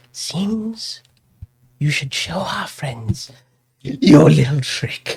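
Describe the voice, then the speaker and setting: Using a put-on character voice, a man speaks very slowly at a fairly high pitch, with long, frequent pauses. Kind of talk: villain voice. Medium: actual play. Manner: mocking, condescending.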